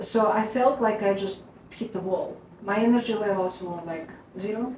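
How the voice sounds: With audible room echo, a woman speaks at a moderate pace in a medium pitch, her tone slightly mellow and her pitch variation ordinary.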